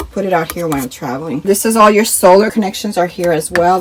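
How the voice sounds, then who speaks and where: A woman speaks at a fairly quick pace with lively intonation and a fairly low pitch. There is noticeable background noise. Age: 50s. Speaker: RV vlogger. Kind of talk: casual talk to camera.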